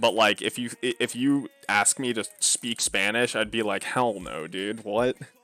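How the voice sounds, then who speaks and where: A man speaks at a fairly slow pace with hardly any pauses, his medium pitch held in fairly even intonation. The sound is dry and close with no echo, and music plays in the background. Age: 20s. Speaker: game streamer. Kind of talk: casual chat. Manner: casual, filler-heavy.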